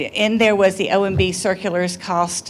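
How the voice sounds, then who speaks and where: A woman speaks at a medium pitch, her intonation fairly even. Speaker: workshop attendee. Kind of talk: audience comment in Q&A. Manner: loud. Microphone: speaking without a microphone.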